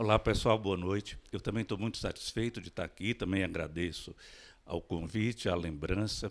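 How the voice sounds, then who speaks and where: Fairly low in pitch, a man speaks at a moderate pace in an unremarkable speaking voice. The recording is very clean, with a silent background. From Brazil, interior of Maranhão. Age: 60s. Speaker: writer and physician. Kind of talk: panel talk.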